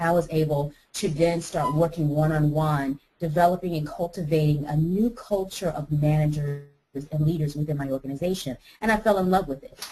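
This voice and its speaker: With an American accent, the speaker has a dark, mellow tone that is somewhat breathy, ordinary pitch variation and a fairly quick pace. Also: woman, very deep, low pitch for a woman. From United States. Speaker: life coach. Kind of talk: interview. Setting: webinar.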